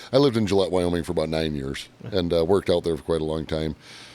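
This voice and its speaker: A man talks at a very fast pace with a Michigan accent. His pitch is very deep and low. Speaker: podcast host, mechanic. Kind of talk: casual chat.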